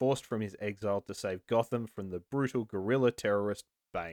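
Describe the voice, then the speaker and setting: In a very clean recording with a silent background, a man talks at a fairly quick pace with ordinary pitch variation. He has an ordinary speaking voice, and the sound is dry and close with no echo. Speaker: podcast host. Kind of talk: casual chat.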